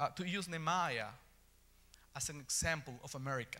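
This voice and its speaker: With an Ecuadorian accent, a man talks at a moderate pace in a bright, sharp tone with lively intonation. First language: Spanish. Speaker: preacher. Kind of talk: sermon. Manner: halting.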